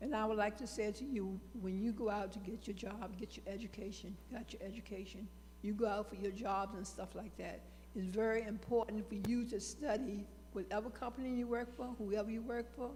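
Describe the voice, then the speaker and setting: A woman at a medium pitch and fairly quick pace, with fairly even intonation, audible room echo and noticeable background noise. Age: 80s+. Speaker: audience member. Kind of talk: public comment.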